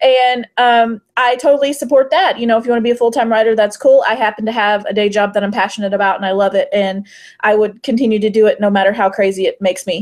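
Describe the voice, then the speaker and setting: A woman's fairly high voice at a very fast pace, with hardly any pauses. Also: ordinary pitch variation. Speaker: fantasy romance author and podcast panelist. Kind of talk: casual panel discussion.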